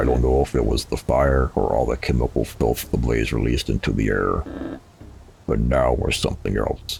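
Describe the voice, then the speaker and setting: A put-on character voice delivers its lines in a monotone, flat intonation at a moderate pace. The loudness is very even, and clear background noise is present. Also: man, very deep, low pitch for a man. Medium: game stream. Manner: commanding, menacing.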